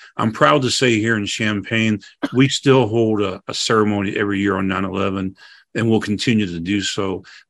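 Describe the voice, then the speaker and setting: A plain, everyday voice from a man with an American accent and a fairly low pitch, at a fairly quick pace with fairly even intonation, against a quiet background. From St. Louis, Missouri, US Midwest. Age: 60s. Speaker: fire chief. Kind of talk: panel discussion.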